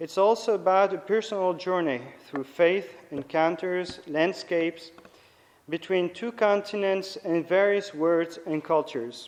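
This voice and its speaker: Someone speaks at a moderate pace with a French accent and ordinary pitch variation. Noticeable background noise is present. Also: man. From France, Nice. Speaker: priest and theology lecturer. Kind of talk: lecture. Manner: halting.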